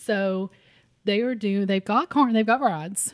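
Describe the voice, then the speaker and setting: Recorded very cleanly with a silent background and a dry, close sound with no echo, a woman at medium pitch speaks at a moderate pace in an Appalachian accent. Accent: Appalachian Kentucky. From Harlan County, southeastern Kentucky. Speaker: podcast co-host, food blogger. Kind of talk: casual chat.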